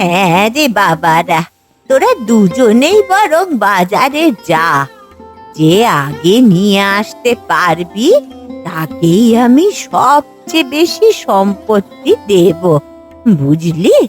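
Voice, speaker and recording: At a very slow pace, a woman performs a cartoonish character voice at medium pitch while faint music plays in the background. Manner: bossy, demanding.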